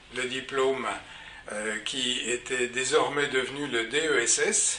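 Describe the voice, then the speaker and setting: A man is speaking in a room with audible echo. Noticeable background noise sits behind him. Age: 70s. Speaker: psychologist and psychoanalyst. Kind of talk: personal career account. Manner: hesitant with frequent fillers.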